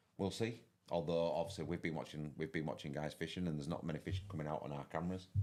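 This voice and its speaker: A man with a strong Yorkshire accent speaks in a very deep, low voice with fairly even intonation. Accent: broad Yorkshire. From West Yorkshire, England. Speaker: fishing tournament commentator. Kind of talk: live commentary. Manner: fast. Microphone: too quiet.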